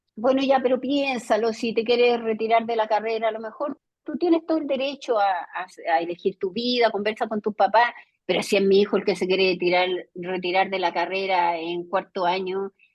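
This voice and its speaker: Moderately paced female speech, fairly high in pitch, with lively intonation. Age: 60s. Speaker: educator and academic. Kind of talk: video conference lecture discussion. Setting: video call.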